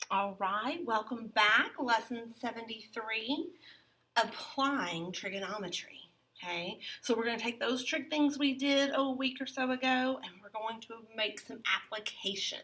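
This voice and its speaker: Fairly slow and fairly high, a woman's bright, sharp voice in a Southern US accent shows ordinary pitch variation and big swings in loudness. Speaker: math teacher. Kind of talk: lecture. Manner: casual.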